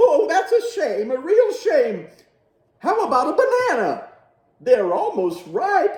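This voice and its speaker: This man uses a put-on character voice pitched extremely high. He speaks at a fairly slow pace, with slight echo. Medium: read story.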